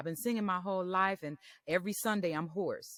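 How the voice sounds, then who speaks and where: A woman speaks loudly at a moderate pace, her medium pitch and bright, sharp tone carried by fairly even intonation, in a very clean recording with a silent background and a dry, close sound with no echo. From US Midwest, Detroit. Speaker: voice coach and professor. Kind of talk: interview. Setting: podcast interview.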